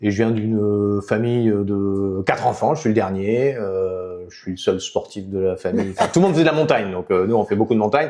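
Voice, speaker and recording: Against a quiet background, a man with a fairly low pitch talks at a fairly quick pace with ordinary pitch variation and hardly any pauses. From southwestern France, Béarn near Basque Country. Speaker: politician, former mayor. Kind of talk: interview. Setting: podcast. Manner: hesitant, many fillers.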